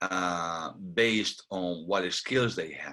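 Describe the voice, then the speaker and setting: Lively intonation marks this very slow speech, captured on a very clean recording with a silent background. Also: man. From Spain. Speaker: filmmaker and video producer. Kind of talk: interview answer.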